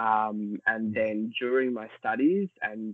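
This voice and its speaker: Speaking at a very slow pace, a man has an Australian accent. His pitch is fairly low. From Australia, Melbourne. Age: young. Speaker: fashion industry worker. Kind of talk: interview.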